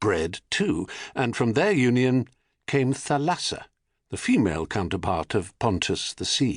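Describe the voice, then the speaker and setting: Over a quiet background, a man speaks at a fairly slow pace in a medium pitch, with very wide pitch swings and vocal fry. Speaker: audiobook narrator. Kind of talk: audiobook narration. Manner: ebullient, humorous.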